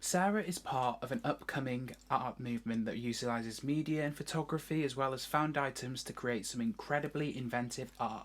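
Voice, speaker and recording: In a very clean recording with a silent background, a woman with a very deep, low pitch and lively intonation speaks at a moderate pace with hardly any pauses. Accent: British. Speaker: arts video presenter. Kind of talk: scripted presentation.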